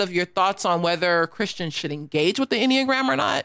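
A woman with an American accent and a normal speaking voice, medium in pitch, fairly quick in pace, with lively intonation. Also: very clean recording, silent background. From United States. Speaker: show host. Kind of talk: casual livestream chat. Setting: live video stream with chat.

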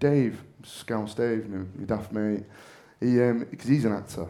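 With a Mancunian accent, a man speaks at a fairly slow pace in a dark, mellow tone, medium in pitch with ordinary pitch variation, and audible room echo around him. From northern England, Manchester. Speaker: actor. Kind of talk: on-stage interview. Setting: stage with audience. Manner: loud.

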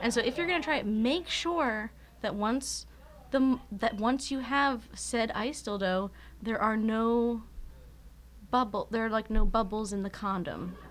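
Showing vocal fry, a woman with an American accent speaks at a fairly slow pace, with a fairly high pitch and a bright, sharp tone. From Philadelphia suburbs, US. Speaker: podcast co-host. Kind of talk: casual chat.

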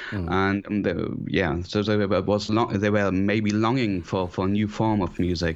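With a German accent, a man speaks at a fairly low pitch and a moderate pace, with hardly any pauses. His intonation is fairly even and his loudness very even. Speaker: composer and synthesizer player. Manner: halting, hesitant, many filler words.

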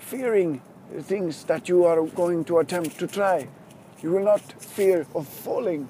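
The speech moves fairly slowly, with noticeable background noise underneath. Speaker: fitness coach. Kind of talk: pep talk. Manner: earnest, motivational, urging the listener on; halting, repeats words and restarts.

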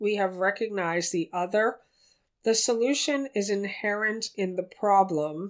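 An ordinary speaking voice from a woman, her pitch variation ordinary. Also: very clean recording, silent background. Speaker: spiritual teacher. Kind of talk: guided meditation; spiritual teaching, addressing listeners directly. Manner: slow, soft, calm and soothing, with long pauses; gentle, tender, reverent.

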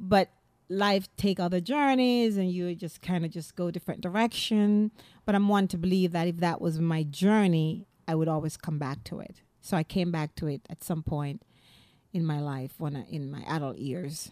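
In a very clean recording with a silent background, a woman speaks fairly low and in a dark, mellow tone at a moderate pace, with ordinary pitch variation and a dry, close sound free of echo. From Jamaica. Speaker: playwright and comedian. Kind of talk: interview.

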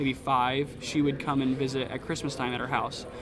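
With an American accent, a man talks at a fairly high pitch amid audible room echo and noticeable background noise. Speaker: pastor. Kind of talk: interview. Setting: conference lunch break.

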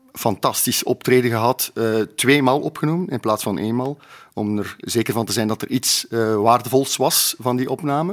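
Over a silent background in a very clean recording, a man speaks in a normal speaking voice at medium pitch, with ordinary pitch variation and a moderate pace. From Flanders, Belgium (Sleidinge, East Flanders). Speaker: drummer. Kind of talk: interview, reminiscing.

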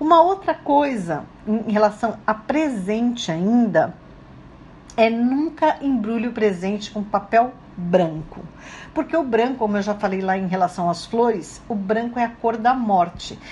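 A woman speaks in an ordinary speaking voice at a fairly slow pace. Her pitch is fairly high and her intonation lively. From Brazil. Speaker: radio host. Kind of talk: radio talk. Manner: casual, conversational.

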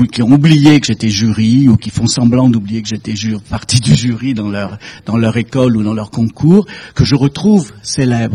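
A man with a medium pitch and a dark, mellow, somewhat breathy tone speaks at a fairly slow pace with ordinary pitch variation. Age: 70s. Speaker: fashion industry consultant. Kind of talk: talk to an audience.

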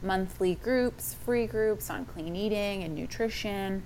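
Audible room echo surrounds a woman speaking with an American accent and ordinary pitch variation. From Texas. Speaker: fitness coach. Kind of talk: interview.

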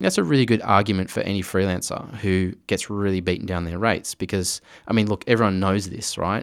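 A man with an Australian accent speaks fairly quickly at a fairly low pitch. His intonation stays fairly even. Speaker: director and visual effects artist. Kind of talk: interview.

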